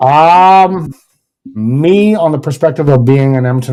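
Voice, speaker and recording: A man talks at a fairly slow pace in a dark, mellow tone. His intonation is lively. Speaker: hockey podcast host. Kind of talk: casual sports discussion. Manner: mumbling at times.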